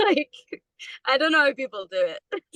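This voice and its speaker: A woman is speaking. She has a Scottish accent. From Scotland, Perthshire. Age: 20s. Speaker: musician. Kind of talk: interview.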